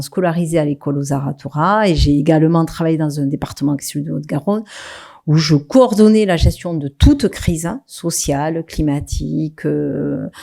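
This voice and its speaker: A dark, mellow tone moves at a moderate pace with ordinary pitch variation. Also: woman. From southwest France, Toulouse. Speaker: local government executive. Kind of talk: conference talk. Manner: hesitant, many fillers.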